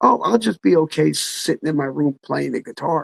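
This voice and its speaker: With a dry, close sound and no echo, the male speaker's voice shows vocal fry. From New Jersey, Freehold. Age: 60s. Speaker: musician and songwriter. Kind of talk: casual interview chat. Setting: live online chat from home.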